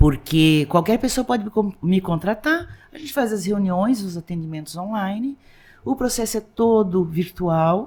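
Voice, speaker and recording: In a very clean recording with a silent background, a woman with a somewhat breathy, medium-pitched voice speaks fairly slowly, with lively intonation and big swings in loudness. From Blumenau, Santa Catarina, southern Brazil. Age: 60s. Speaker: lawyer and social activist. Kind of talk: interview conversation. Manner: animated, halting with many restarts.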